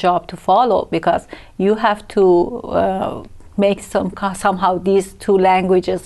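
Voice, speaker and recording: A woman talks at a fairly slow pace. Her pitch sits in the medium range. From Iran, Tehran. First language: Persian. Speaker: asylum seeker, translator. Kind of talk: TV interview.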